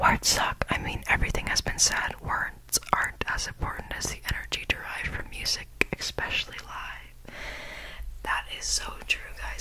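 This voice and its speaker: A woman is whispering. She keeps a moderate pace. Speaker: ASMR creator. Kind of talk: ASMR quote reading. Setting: studio, close to binaural microphone. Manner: whispered, close-mic. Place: home room. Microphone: studio mic.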